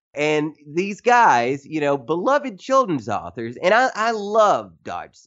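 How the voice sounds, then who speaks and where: Speaking fairly slowly with a Tennessee accent, a man's voice makes very wide pitch swings. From Tennessee, US South. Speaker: journalist and author. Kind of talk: interview conversation.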